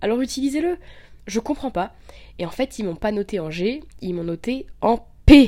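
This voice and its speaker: This woman's voice sits fairly high and swings very widely in pitch. She talks at a moderate pace. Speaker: podcaster. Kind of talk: personal monologue. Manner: casual, hesitant. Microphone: poor mic, interference.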